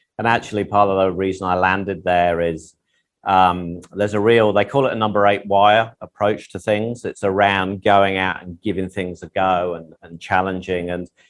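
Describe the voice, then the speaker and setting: The speaker has an English accent and a monotone, flat intonation at a moderate pace. Loudness swings widely throughout. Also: man, very deep, low pitch for a man. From England. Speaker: tech company executive. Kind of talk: podcast interview.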